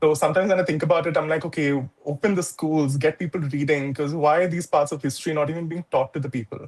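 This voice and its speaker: A man's fairly high voice with a non-native accent, very fast in pace and fairly even in intonation. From India. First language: not English. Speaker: activist writer. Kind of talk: panel discussion.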